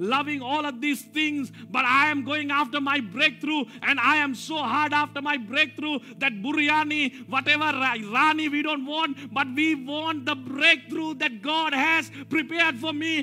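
A man with an extremely high pitch talks at a fairly slow pace in a raised, projected voice with a bright, sharp tone. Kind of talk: sermon. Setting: church. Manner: animated call-and-response preaching, urging the congregation to repeat key words; emphatic, repetitive, rising exhortation with prophetic declarations.

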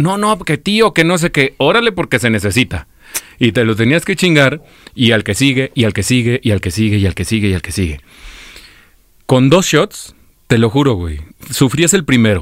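At a moderate pace, the voice shows vocal fry and very wide pitch swings, broken by long, frequent pauses. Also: man, medium pitch for a man. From Michoacán, Mexico. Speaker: radio host. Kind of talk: casual chat. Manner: animated.

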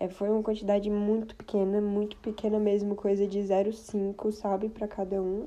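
Against noticeable background noise, a woman at medium pitch talks at a moderate pace in a monotone, flat intonation with hardly any pauses. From Brazil, Brasília. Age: 20s. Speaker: podcast host. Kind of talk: casual personal monologue.

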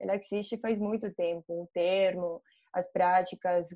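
In a Colombian accent, a woman talks at a fairly slow pace. Her tone is dark and mellow. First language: Spanish (speaking Portuguese). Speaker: ESG investment analyst. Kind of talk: online panel debate. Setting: video call.

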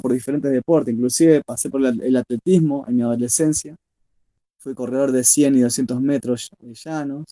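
A man with an Argentine accent and a dark, mellow tone speaks at a moderate pace and medium pitch, his intonation fairly even but his loudness swinging widely, all in a dry, close sound with no echo. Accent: Rioplatense Argentine Spanish. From Argentina, Rosario. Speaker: blind football player. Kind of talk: interview. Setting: remote link.

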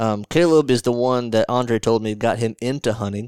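A man with a Southern US accent and a medium pitch at a fairly quick pace, in a dry, close sound with no echo and a very clean recording with a silent background. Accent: Southern US (Georgia). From north Georgia, US South. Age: 20s. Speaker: podcast host. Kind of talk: scripted outro; casual chat.

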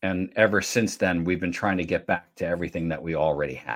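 Very deep and low, a man's voice carries vocal fry and ordinary pitch variation. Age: 50s. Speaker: podcast host. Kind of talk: podcast interview. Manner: hesitant, many fillers.

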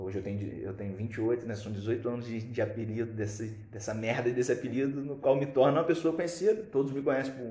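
With a Brazilian accent, a man talks fairly quickly at medium pitch in a dark, mellow, somewhat breathy tone. Audible room echo surrounds his voice. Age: 20s. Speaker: podcast co-host. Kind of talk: casual chat. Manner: halting.

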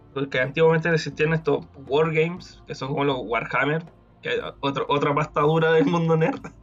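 A man with a Chilean accent and music in the background. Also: fairly high pitch for a man, fairly even intonation, moderate pace. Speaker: podcast host. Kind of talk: casual chat.

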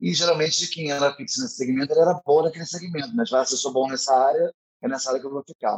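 A man speaks very fast in a fairly high pitch, his intonation lively. The sound is dry and close, with no echo. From Rio de Janeiro state, São Gonçalo. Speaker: drag queen and event producer. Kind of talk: casual interview. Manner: animated.

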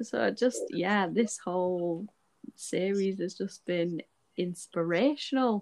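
A woman speaks very slowly in a Scottish accent. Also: medium pitch for a woman, ordinary pitch variation. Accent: picking up a Scottish. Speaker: podcast host. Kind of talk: casual chat.

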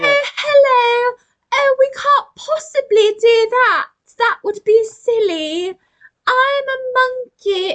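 A put-on character voice at an extremely high pitch moves along at a very slow pace. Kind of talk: polite, prim.

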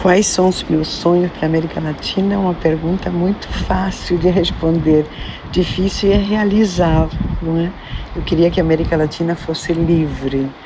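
A woman with a fairly low voice talks at a moderate pace, her loudness very even and her intonation fairly even, over noticeable background noise. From Argentina, Buenos Aires. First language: Spanish (speaking Portuguese). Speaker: psychoanalyst and former actress. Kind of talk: interview.

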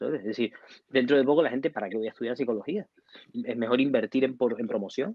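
A man's very fast delivery with lively intonation. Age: 40s. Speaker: psychologist. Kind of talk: interview. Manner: casual.

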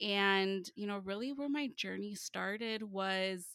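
With a Chicago accent, a woman speaks at a medium pitch in a bright, sharp tone on a very clean recording with a silent background. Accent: Chicago American English. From Chicago suburbs, US Midwest. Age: 30s. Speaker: financial literacy coach. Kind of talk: casual interview chat. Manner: animated.

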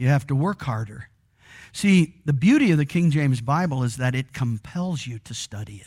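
Over a very clean recording with a silent background, a man with a somewhat breathy, fairly high voice speaks at a moderate pace with lively intonation and long, frequent pauses. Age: 60s. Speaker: pastor. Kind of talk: sermon. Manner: conversational, frequent fillers.

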